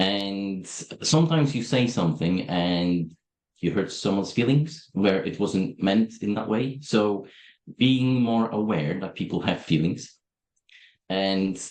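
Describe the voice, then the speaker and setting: A man with a Polish accent, fairly low in pitch, at a fairly slow pace with lively intonation. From Poland. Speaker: software company owner. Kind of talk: interview. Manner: direct.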